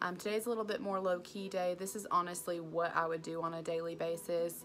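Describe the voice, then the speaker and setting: A woman with an American accent talks at a fairly quick pace in a fairly low pitch, her intonation fairly even, with music in the background. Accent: Southern US, stronger when nervous. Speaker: beauty vlogger. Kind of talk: makeup tutorial with casual chat. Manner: chatty, frequent fillers.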